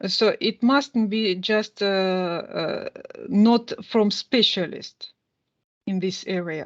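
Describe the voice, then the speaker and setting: A woman speaks very slowly with a Russian accent and a fairly high pitch. Her intonation is lively, and the background is quiet. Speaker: university teacher. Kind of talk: lecture. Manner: halting, many fillers.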